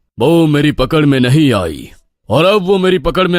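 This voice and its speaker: Using a cartoonish character voice, a man speaks at a moderate pace with a fairly high pitch. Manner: authoritative.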